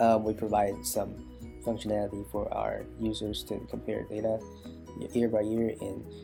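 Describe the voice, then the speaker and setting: The speech moves at a moderate pace with lively intonation, music playing in the background. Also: man, fairly low pitch for a man. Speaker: student. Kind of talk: class project presentation.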